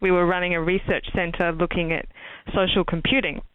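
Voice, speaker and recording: A woman talks at a medium pitch with an Australian accent. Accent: Australian accent, noticeable. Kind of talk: interview. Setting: podcast.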